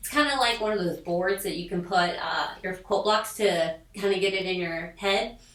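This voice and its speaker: With hardly any pauses, a woman at medium pitch talks at a moderate pace with ordinary pitch variation, with noticeable background noise and audible room echo. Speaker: sewing machine product demonstrator. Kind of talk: product tutorial. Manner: chatty, casual.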